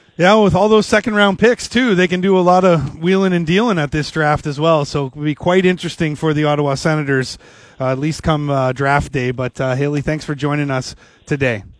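In a plain, everyday voice, a man with a Canadian accent speaks at a fairly quick pace. His pitch is fairly high, with ordinary variation. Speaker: sports radio host. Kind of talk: casual sports talk radio. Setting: radio studio. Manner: jokey.

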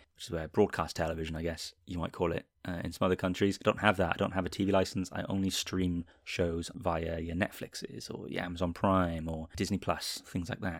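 A man with a Welsh accent speaks at a very deep, low pitch and a fairly quick pace. His intonation is fairly even, and the recording is very clean with a silent background. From Wales. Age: 30s. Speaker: podcast host, TV and film reviewer. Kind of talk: solo podcast monologue.

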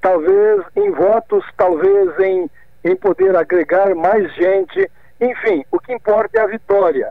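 Speaking at a very slow pace, the man has a high pitch and fairly even intonation. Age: 60s. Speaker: former politician. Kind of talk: radio interview. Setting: phone call.

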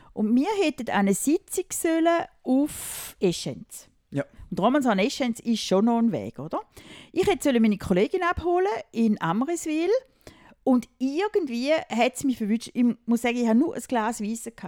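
A woman with a high pitch and a dark, mellow tone speaks at a moderate pace with very wide pitch swings, in a dry, close sound with no echo. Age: 50s. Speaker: mother of the hosts. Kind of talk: casual chat.

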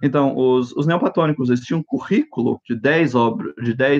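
Ordinary pitch variation comes through against a quiet background. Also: man. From grew up in Japan, USA and Brasília. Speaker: philosophy researcher. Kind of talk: interview. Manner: halting, many fillers.

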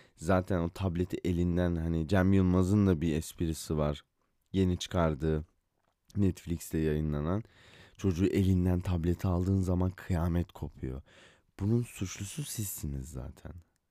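A man with a very deep, low pitch and a dark, mellow tone speaks at a fairly slow pace with fairly even intonation. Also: very clean recording, silent background. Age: 20s. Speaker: podcaster. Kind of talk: solo monologue podcast. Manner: casual, rambling.

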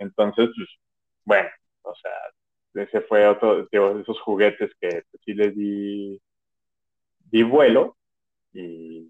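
Very slow speech from a man, broken by long, frequent pauses and marked by big swings in loudness. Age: 30s. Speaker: podcast co-host. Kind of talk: casual chat.

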